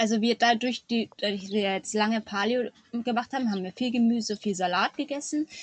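A woman's fairly high voice is somewhat breathy, with ordinary pitch variation. The recording is dry and close, with no echo. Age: 30s. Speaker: farmer and mother. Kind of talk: interview.

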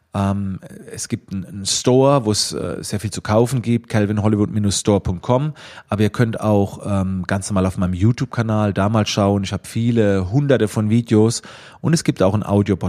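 A man with a dark, mellow tone and fairly low pitch, ordinary pitch variation and a moderate pace, in a very clean recording with a silent background. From Germany, Schwetzingen near Heidelberg-Mannheim. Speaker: photographer and trainer. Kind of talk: self-recorded interview answers. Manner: hesitant, many fillers.

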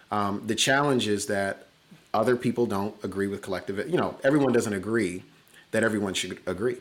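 Here is a normal speaking voice with ordinary pitch variation, moving at a fairly quick pace. The recording is very clean, the background silent. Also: man, fairly low pitch for a man. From US Midwest, Chicago. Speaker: diversity consultant and company CEO. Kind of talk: interview conversation.

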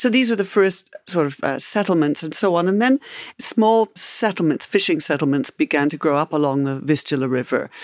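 The woman's voice sits fairly low. Her pitch swings very widely. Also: fairly quick pace. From Canada and England. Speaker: historian. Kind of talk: interview.

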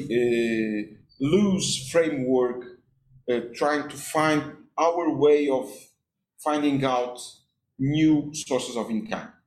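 A man with a Portuguese accent talks at a very slow pace, his voice fairly high. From Portugal, Cascais. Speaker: deputy mayor. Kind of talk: interview. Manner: halting, with many repeated words.

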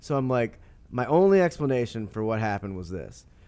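Very wide pitch swings mark this man's speech. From St. Louis, Missouri, US Midwest. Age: 30s. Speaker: sports columnist and author. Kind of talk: interview. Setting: stadium studio.

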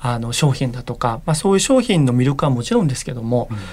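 A man at a fairly high pitch, talking at a very fast pace. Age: 40s. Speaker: corporate communications manager. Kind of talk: interview.

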